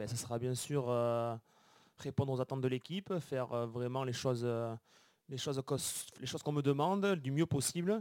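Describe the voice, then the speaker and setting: A man with a Béarn accent speaks at a moderate pace and medium pitch. His pitch varies in an ordinary way, and the sound is dry and close with no echo. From Béarn, southwest France. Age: 20s. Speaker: professional cyclist. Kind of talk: interview.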